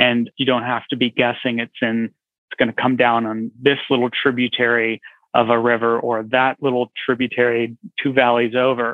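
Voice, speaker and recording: In an American accent, a medium-pitched man speaks at a moderate pace with flat, monotone intonation. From California. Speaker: foundation program officer. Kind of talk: interview.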